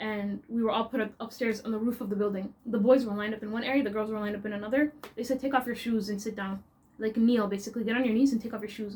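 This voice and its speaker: A woman with a Toronto accent, fairly high-pitched, animated in tone, at a very fast clip. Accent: Canadian, Toronto. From Canada, Toronto. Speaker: vlogger. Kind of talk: storytelling vlog.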